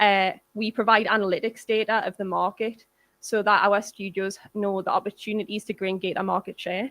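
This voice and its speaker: In a Geordie accent, a woman talks at a fairly quick pace with monotone, flat intonation. The recording is very clean with a silent background, and the sound is dry and close with no echo. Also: medium pitch for a woman. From northern England, Newcastle. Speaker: games industry producer. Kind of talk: conference talk. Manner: fast.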